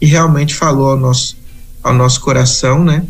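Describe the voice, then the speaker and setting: Over music in the background, a man talks with fairly even intonation, and room echo can be heard. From Brazil, Espírito Santo (rural). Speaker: missionary. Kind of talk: interview.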